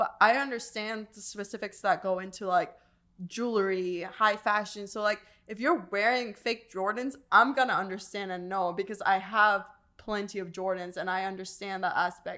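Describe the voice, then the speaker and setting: A woman speaks at a moderate pace with fairly even intonation. Her tone is bright and sharp. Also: medium pitch for a woman, very clean recording, silent background. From Iran. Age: 20s. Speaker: podcast co-host. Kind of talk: casual chat.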